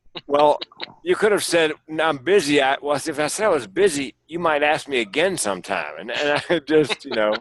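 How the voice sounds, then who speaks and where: Using an unremarkable speaking voice, a man talks at a middling tempo and a fairly high pitch. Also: lively intonation. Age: 60s. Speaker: comedian and suicide prevention speaker. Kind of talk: casual chat.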